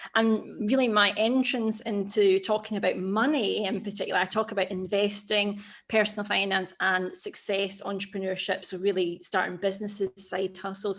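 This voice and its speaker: A Scottish accent at a moderate pace, with hardly any pauses and fairly even intonation, on a very clean recording with a silent background. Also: woman, medium pitch for a woman. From Scotland, Glasgow. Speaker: personal finance YouTuber. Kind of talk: podcast interview.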